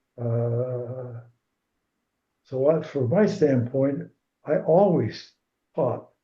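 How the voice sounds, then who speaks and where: A man speaks very slowly in a medium pitch with ordinary pitch variation. His tone is dark and mellow, and somewhat breathy. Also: long, frequent pauses. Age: 80s+. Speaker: retired swim coach. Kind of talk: interview answer.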